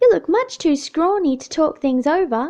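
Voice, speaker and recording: Putting on a character voice, a woman speaks at a moderate pace in a squeaky, extremely high pitch. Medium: read story. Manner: eager.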